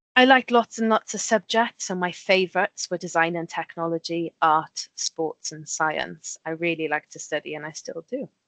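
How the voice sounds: Intonation stays fairly even. There are few pauses. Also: woman, fairly low pitch for a woman, moderate pace, dry, close sound with no echo, fairly bright tone.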